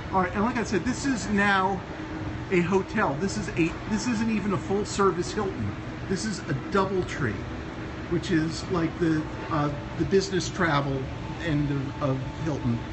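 Long, frequent pauses break up the moderate pace, with noticeable background noise behind the speech. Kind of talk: casual vlog chat. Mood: joking, relaxed. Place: hall. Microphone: phone near.

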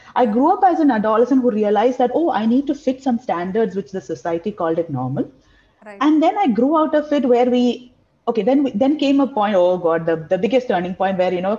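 With a dark, mellow tone and a somewhat breathy quality, a woman speaks fairly quickly at a fairly high pitch, her voice making very wide pitch swings. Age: 30s. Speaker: panel guest; guest. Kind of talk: personal testimony. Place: home room. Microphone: video call.

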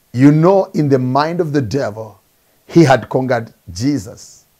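A man speaks fairly slowly in a dark, mellow tone against a quiet background. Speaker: preacher. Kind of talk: sermon. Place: office. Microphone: lapel.

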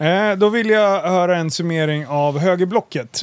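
The man's pitch is high, with ordinary variation. He speaks at a fairly slow pace. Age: 30s. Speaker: podcast host. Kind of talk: casual interview.

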